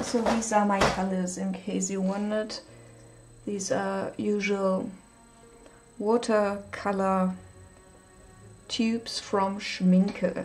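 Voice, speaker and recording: A woman with a German accent speaks at a very slow pace in a monotone, flat intonation. She pauses long and often, with music in the background. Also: medium pitch for a woman. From Germany. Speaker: livestreaming artist. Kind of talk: casual livestream chat while painting. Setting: live stream. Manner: hesitant, with fillers.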